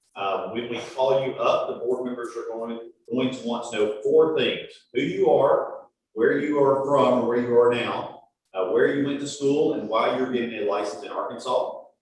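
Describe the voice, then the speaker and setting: Audible room echo surrounds the voice. The pace is moderate. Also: man. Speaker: board meeting chair. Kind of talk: meeting proceedings. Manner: loud.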